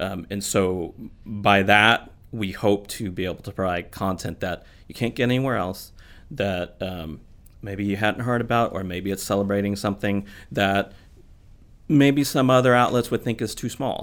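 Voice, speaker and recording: A man with an American accent has a normal speaking voice at a fairly low pitch. He moves at a moderate pace with ordinary pitch variation. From Missouri (Kansas City, St. Louis). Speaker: newspaper editor and publisher. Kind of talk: casual interview.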